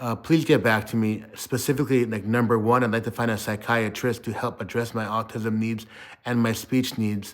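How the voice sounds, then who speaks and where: A man speaks at a moderate pace and a medium pitch. His intonation is monotone and flat. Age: 40s. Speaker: vlogger. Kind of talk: personal video diary.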